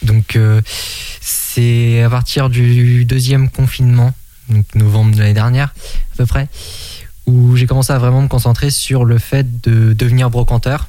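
Over noticeable background noise, a man of medium pitch talks fairly slowly in a flat monotone, with very even loudness and long, frequent pauses. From Maine-et-Loire, western France. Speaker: antiques dealer. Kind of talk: radio interview.

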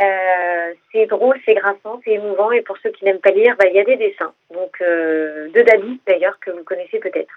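At a moderate pace and with hardly any pauses, a woman speaks in an unremarkable speaking voice at a medium pitch with ordinary pitch variation. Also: big swings in loudness. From Essonne, Paris region, France. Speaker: comedian. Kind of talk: radio interview. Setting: phone call.

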